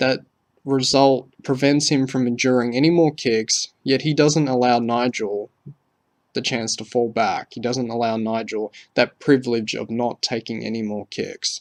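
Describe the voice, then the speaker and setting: A man with a normal speaking voice talks at a medium pitch with fairly even intonation, and the sound is dry and close with no echo. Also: moderate pace. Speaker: wrestling commentator. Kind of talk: scripted opinion commentary.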